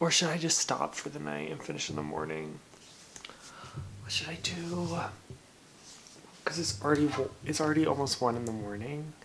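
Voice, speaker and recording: Against noticeable background noise, a man speaks quietly at a moderate pace with long, frequent pauses. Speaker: booktuber / reading vlogger. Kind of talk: casual vlog. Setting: in bed at night.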